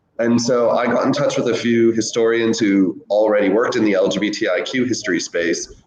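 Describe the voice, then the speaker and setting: A man speaks with an American accent at a fairly quick pace. Noticeable background noise runs behind him. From United States. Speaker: historian. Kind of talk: interview.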